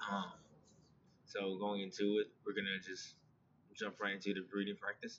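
A man speaks at a fairly low pitch with monotone, flat intonation. He leaves long, frequent pauses over light background noise. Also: moderate pace. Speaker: yoga and meditation instructor. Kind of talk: guided meditation. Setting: video call. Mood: calm, soothing. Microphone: webcam.

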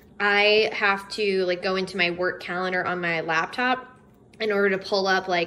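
Fairly even intonation marks this woman's speech. She talks at a moderate pace. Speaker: home decor vlogger, teacher. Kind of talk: casual haul vlog chat. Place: home room. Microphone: phone near.

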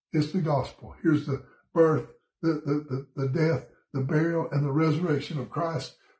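Over a quiet background with audible room echo, a man speaks in a Southern US accent at a moderate pace. His voice is fairly high, dark, mellow and somewhat breathy, with fairly even intonation. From US South, Georgia. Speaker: pastor. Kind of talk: bible study devotion. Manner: casual, conversational. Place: home room. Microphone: phone near.

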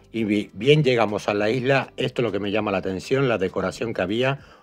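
Music plays in the background while a man of medium pitch talks at a fairly quick pace with ordinary pitch variation. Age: 50s. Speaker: travel vlogger. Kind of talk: travel vlog narration.

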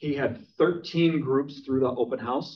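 Using an unremarkable speaking voice, a man with an American accent talks at a fairly high pitch with lively intonation. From Minnesota. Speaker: real estate team leader. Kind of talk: training class. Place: classroom.

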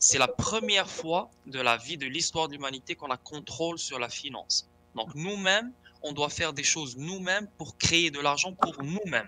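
Noticeable background noise sits behind a man whose fairly high voice moves at a moderate pace with lively intonation. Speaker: crypto enthusiast. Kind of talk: tutorial.

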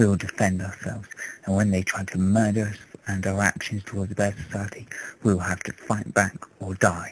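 Over noticeable background noise, a man with an English accent speaks at a fairly quick pace in a fairly low pitch. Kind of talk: political speech to camera. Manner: impassioned.

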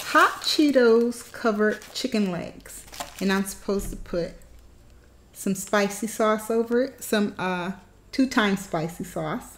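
The woman's voice is somewhat breathy. She talks at a fairly slow pace. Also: ordinary pitch variation. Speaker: food challenge vlogger. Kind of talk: casual vlog chat. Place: home room. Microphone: phone near.

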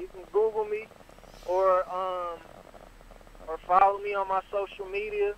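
Against noticeable background noise, the speech moves at a moderate pace in a monotone, flat intonation. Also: man. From Detroit, Michigan. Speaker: rapper. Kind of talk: radio interview.

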